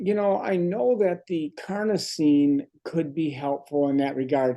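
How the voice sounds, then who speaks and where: A man at a fairly slow pace, lively in intonation, with very even loudness. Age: 60s. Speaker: medical doctor. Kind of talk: health webinar Q&A.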